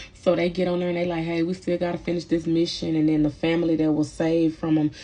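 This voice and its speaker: A fairly low-pitched woman's voice, monotone and flat, at a fairly quick pace with a slight Texas accent. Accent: slight Texas twang. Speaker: movie reviewer. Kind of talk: casual movie review. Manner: casual, hesitant with fillers.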